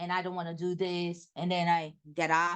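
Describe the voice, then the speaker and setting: Against a quiet background, a woman with a Brazilian Portuguese accent speaks at a fairly slow pace. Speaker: behavior analyst and presenter. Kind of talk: lecture. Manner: loud.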